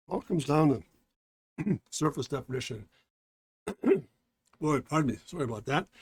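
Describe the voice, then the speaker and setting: With a dry, close sound and no echo, a man's somewhat breathy, fairly high voice moves at a moderate pace with lively intonation and long, frequent pauses. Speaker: drawing instructor. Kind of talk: tutorial. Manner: casual.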